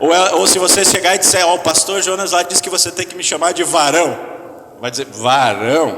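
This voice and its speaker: Heard with audible room echo and noticeable background noise, a man with a high pitch speaks at a moderate pace and ordinary pitch variation. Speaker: pastor. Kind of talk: sermon. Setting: church hall with audience, microphone.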